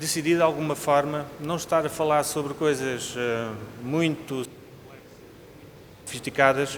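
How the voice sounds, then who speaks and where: A man with a European Portuguese accent and a fairly high pitch speaks at a fairly slow pace with fairly even intonation and long, frequent pauses, amid noticeable background noise and audible room echo. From Portugal. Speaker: cardiologist, invited speaker. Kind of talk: lecture. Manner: formal.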